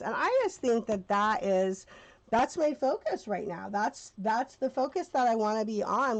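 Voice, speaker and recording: With lively intonation and a fairly high pitch, a woman talks in a normal speaking voice at a moderate pace. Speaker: paper crafter, card maker. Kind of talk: casual craft tutorial to camera. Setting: recording with audio glitches. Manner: upbeat.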